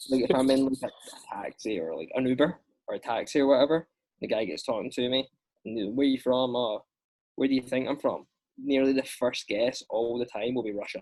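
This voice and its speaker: Talking fairly quickly, a man speaks in a Scottish accent. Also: medium pitch for a man, ordinary pitch variation. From Scotland. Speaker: actor. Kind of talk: casual chat.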